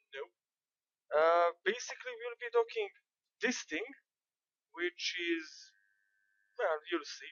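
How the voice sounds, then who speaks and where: Speaking with a non-native accent at a very slow pace, a woman uses a fairly low pitch and lively intonation, with big swings in loudness and long, frequent pauses. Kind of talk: game tutorial commentary.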